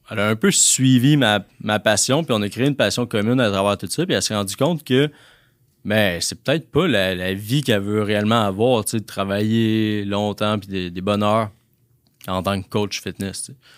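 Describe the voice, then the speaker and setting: In a very clean recording with a silent background, a man speaks at a moderate pace in an ordinary speaking voice. His pitch is fairly low, with ordinary pitch variation. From Quebec, La Tuque. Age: 20s. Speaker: entrepreneur. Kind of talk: interview.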